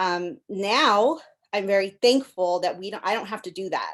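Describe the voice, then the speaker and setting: Against a quiet background, a woman speaks with a Californian accent and ordinary pitch variation. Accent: California English. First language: Spanish. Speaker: panelist parent. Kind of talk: panel discussion, personal story.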